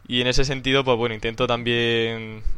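In a Castilian accent, a man speaks at a fairly quick pace with monotone, flat intonation. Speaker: podcast host. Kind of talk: casual chat.

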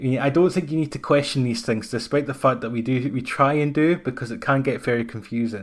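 A man in a Dundee accent speaks at a fairly quick pace, with a fairly high pitch and ordinary pitch variation. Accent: Scottish (Dundee). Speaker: podcast host. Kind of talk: scripted narration.

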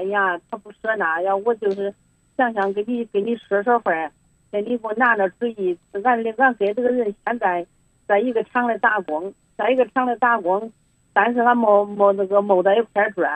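With a dry, close sound with no echo, a woman speaks at a moderate pace, her pitch medium and her intonation fairly even. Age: 60s. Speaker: caller to advice hotline. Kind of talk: phone-in advice call. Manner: halting, repetitive.

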